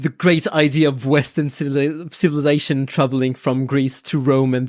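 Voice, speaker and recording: Heard on a very clean recording with a silent background, the voice moves at a fairly quick pace with fairly even intonation. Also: woman. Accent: French. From France. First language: French. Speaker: comic book scholar and podcaster. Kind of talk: casual interview chat. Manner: halting, with many repeated words.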